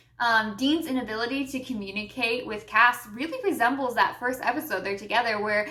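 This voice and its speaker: An animated woman's voice at a fairly quick pace, with noticeable background noise. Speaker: YouTube commentator. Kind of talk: rant.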